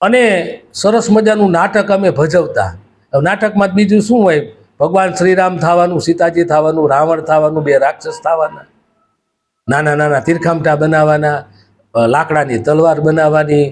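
A man with an unremarkable speaking voice, a fairly high pitch, lively intonation and very even loudness. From Saurashtra, Gujarat (Surendranagar district). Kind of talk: nostalgic storytelling monologue.

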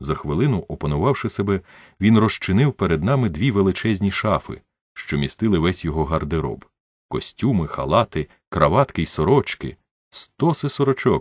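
Over a quiet background, a man speaks at a fairly low pitch. His pitch swings very widely. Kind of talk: literary audiobook reading. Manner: measured, narrative storytelling pace, voicing dialogue with shifts in tone.

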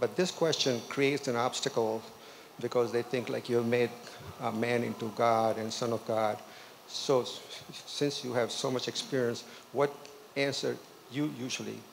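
With light background noise, a man speaks at a medium pitch and a moderate pace, keeping his intonation fairly even and leaving long, frequent pauses. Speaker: audience member. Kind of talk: audience question. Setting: church. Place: church.

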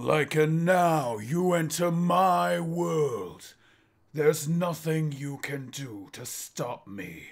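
Using a put-on character voice, a man speaks at a very slow pace in a fairly high pitch, with very wide pitch swings and big swings in loudness, on a very clean recording with a silent background. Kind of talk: villain monologue. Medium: solo performance. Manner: grandiose, menacing, contemptuous.

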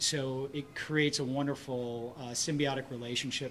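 Over light background noise, a man talks in a monotone with flat intonation. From Michigan. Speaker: film director; film director on panel. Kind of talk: press conference. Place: hall. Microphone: podium.

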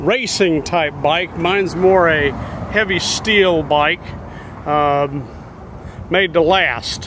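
Over noticeable background noise, a man with a high pitch and ordinary pitch variation talks at a very slow pace with very even loudness, the sound dry with no echo. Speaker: recreational cyclist vlogger. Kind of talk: casual vlog chat. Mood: relaxed, chatty. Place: waterside. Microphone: phone near.

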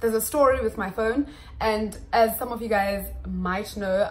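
Faint background noise sits under a woman speaking at a medium speed. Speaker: YouTuber. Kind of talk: casual vlog chat. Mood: upbeat, briefly serious. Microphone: phone near.

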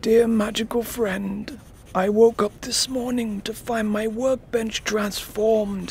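A put-on character voice at a fairly high pitch talks at a fairly slow pace over clear background noise. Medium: read story. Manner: frustrated, then wondering and grateful.

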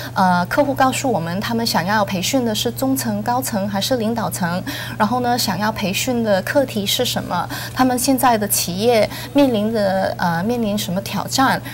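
Over light background noise, a woman talks at a moderate pace with very wide swings in pitch. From Canada, Hong Kong/Singapore family. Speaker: business school program director. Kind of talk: studio interview. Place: studio. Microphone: lapel.

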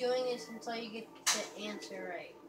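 Music plays in the background while a woman speaks. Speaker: gamer filming own play. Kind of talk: gameplay commentary. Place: home room. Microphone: phone near.

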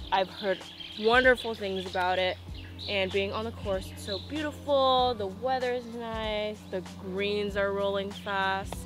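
With clear music in the background, a woman speaks at a fairly slow pace in a dry sound with no echo. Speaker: golf vlogger. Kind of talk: casual vlog chat. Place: open country.

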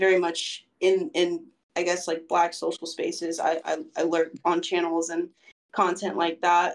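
Her pitch fairly low, a woman talks at a fairly slow pace. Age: 20s. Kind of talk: casual interview. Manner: halting, many fillers.

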